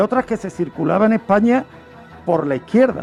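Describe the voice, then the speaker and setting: A man's fairly quick, lively intonation over music in the background. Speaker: radio host presenting a true-crime history segment. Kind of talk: radio true-crime history narration.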